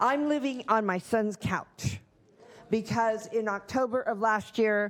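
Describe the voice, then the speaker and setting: With an unremarkable speaking voice, a woman talks at a fairly slow pace and fairly high pitch, her intonation fairly even and her loudness very even. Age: 60s. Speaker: home care worker. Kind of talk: public comment. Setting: county board meeting.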